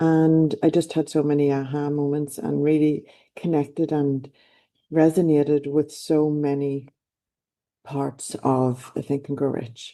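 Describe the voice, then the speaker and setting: A woman with an Irish accent speaks fairly slowly in a very deep, low voice, dark and mellow in tone and flat, monotone in intonation. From Ireland. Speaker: life coach. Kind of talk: motivational talk. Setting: online event.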